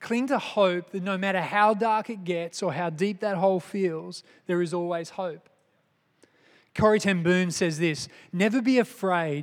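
In a very clean recording with a silent background, a man with an Australian accent talks fairly slowly in a high voice with ordinary pitch variation. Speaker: lay preacher and businessman. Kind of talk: sermon. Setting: church. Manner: halting.

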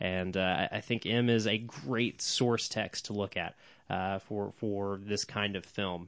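This man speaks in a fairly low pitch with an American accent. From Oklahoma. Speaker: film podcast co-host. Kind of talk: casual chat. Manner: animated.

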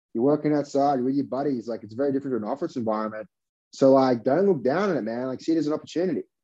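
With an Australian accent, a man talks at a very fast pace in a medium pitch, his tone dark and mellow. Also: ordinary pitch variation. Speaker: tech startup founder. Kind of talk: interview conversation. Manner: casual, filler-heavy.

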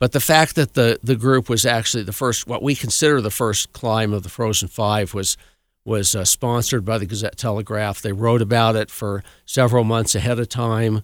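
Medium in pitch, a man with a Colorado accent talks at a moderate pace with fairly even intonation. The sound is dry and close with no echo, on a very clean recording with a silent background. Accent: American (Colorado). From Colorado, Cascade near Pikes Peak. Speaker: club historian. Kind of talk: radio interview. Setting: studio.

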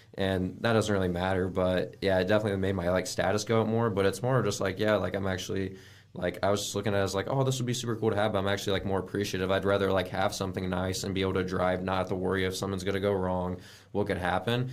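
In a very deep, low voice, a man rattles along at a very fast pace with monotone, flat intonation and audible room echo. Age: 20s. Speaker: acquisitions specialist at a house flipping company. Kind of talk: interview. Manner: casual, filler-heavy speech.

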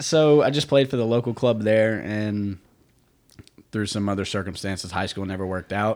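Here is a man with an American accent and an unremarkable speaking voice. He talks at a moderate pace with a fairly low pitch. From United States. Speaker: professional soccer player. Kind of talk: casual chat. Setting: studio.

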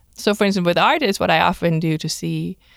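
A woman with a slight non-native accent talks at a very fast pace, with a dry, close sound and no echo on a very clean recording with a silent background. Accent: slight foreign accent in English. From outside the US. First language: not English. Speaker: career counselor. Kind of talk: casual interview. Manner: animated.

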